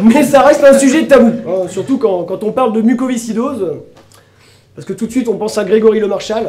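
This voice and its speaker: Amid audible room echo, a man talks at a fairly quick pace and high pitch, with ordinary pitch variation and big swings in loudness. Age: 30s. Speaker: comedian. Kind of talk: stand-up. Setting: stage with audience.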